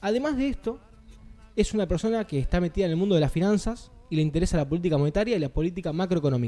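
A man talks very fast in a high pitch with lively intonation. His tone is dark and mellow. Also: very even loudness. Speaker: radio show co-host. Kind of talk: interview.

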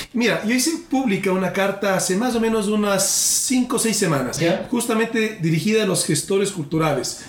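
Noticeable background noise surrounds a man's voice. He keeps a very even loudness and a moderate pace, with lively intonation. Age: 40s. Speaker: presidential candidate. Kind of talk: political interview in a comedy podcast.

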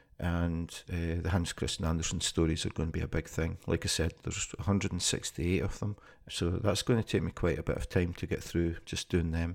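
In a Scottish accent, a man speaks at a fairly quick pace with a very deep, low pitch. The recording is very clean, with a silent background. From Scotland. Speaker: podcaster and city guide. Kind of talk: unscripted monologue. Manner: casual, hesitant with fillers.

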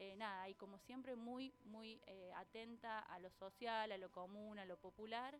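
A woman with a fairly high pitch talks at a fairly slow pace, with fairly even intonation and hardly any pauses. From Argentina, Córdoba city. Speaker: columnist, doctoral student in education. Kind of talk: radio interview. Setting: radio studio.

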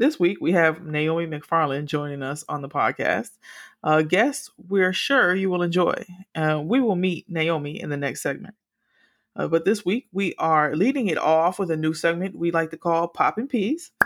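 A woman with a plain, everyday voice speaks at a fairly low pitch and a moderate pace, her intonation lively. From US South, Miami, Florida. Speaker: podcast host. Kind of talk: casual chat.

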